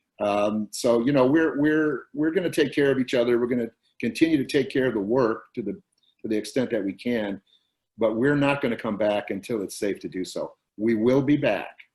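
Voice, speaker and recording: Using an ordinary speaking voice, the male speaker sits in a mid pitch range, and his pitch moves a typical amount. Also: moderate pace. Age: 60s. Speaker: theater producer and writer. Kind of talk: interview.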